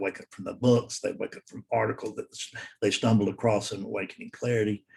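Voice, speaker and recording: This man talks very fast with a Southern US accent, his fairly low voice somewhat breathy and his intonation flat and monotone. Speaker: spiritual teacher. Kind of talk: solo talk to camera. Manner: halting.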